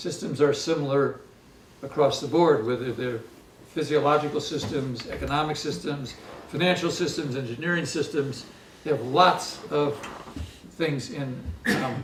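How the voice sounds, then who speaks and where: A man with an American accent, fairly high pitch, moderate pace and long, frequent pauses, amid noticeable background noise and audible room echo. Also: ordinary pitch variation. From US Midwest. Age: 70s. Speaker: economist. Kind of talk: lecture. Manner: halting, many fillers.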